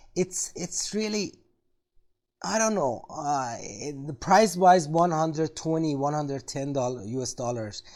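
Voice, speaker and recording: A man with a non-native accent speaks at a fairly slow pace in a dark, mellow tone with lively intonation. The recording is very clean, with a silent background. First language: not English. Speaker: tech video creator. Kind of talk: product review tutorial. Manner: halting, many fillers.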